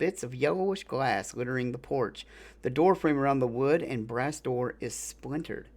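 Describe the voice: Plain reading aloud, its pitch varying in an ordinary way.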